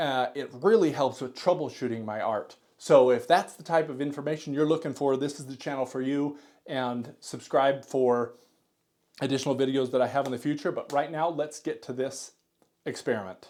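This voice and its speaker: A man with a plain, everyday voice speaks at a fairly high pitch and a moderate pace, his intonation fairly even but his loudness swinging widely, on a very clean recording with a silent background. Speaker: art tutorial youtuber, computer worker. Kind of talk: tutorial. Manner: casual, conversational with fillers.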